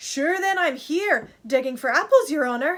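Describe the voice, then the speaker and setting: Using a put-on character voice, a woman speaks at a moderate pace with a high pitch and lively intonation. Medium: read story. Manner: deferential, addresses master as "your honour".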